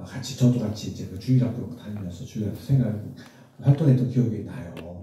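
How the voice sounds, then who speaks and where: Against audible room echo, a man talks at a fairly quick pace with lively intonation. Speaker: medical professor. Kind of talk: testimony. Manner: conversational.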